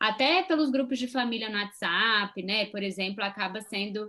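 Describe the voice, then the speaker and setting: The woman's voice is fairly high-pitched, with a bright, sharp tone. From Brazil. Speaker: psychologist and channel co-host. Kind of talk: casual chat.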